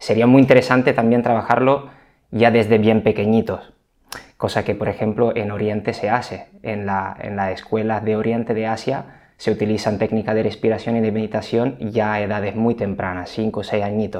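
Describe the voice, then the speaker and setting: This man's intonation is monotone and flat. His fairly low voice moves at a moderate pace. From Italy. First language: Italian (speaking Spanish). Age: 30s. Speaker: physical rehabilitation trainer. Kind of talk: interview.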